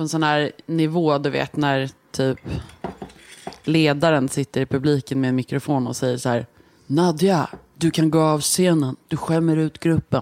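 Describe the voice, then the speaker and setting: Very deep and low in pitch, a woman speaks at a moderate pace with fairly even intonation, the sound dry and close with no echo. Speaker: podcast guest. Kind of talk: casual chat.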